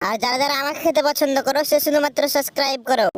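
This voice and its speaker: In a high-pitched cartoonish character voice, a woman rattles off her lines at a very fast pace. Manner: casual, dismissive.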